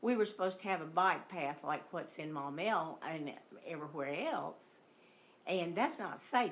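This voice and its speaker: A woman's lively intonation at a fairly slow pace, with audible room echo. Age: 70s. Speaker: resident speaking at public comment. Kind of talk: public comment at council meeting. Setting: city council meeting.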